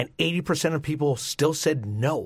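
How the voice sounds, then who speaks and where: A man speaks at a moderate pace in a fairly high-pitched voice. His voice is somewhat breathy. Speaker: pastor and speaker. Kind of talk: radio call-in interview.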